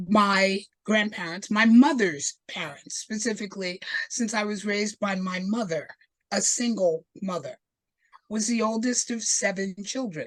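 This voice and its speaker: Speaking at a fairly slow pace, a woman with an American accent sounds somewhat breathy, her pitch varying in an ordinary way. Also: medium pitch for a woman. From New Jersey, US. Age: 70s. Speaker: leather community elder. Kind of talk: oral history storytelling.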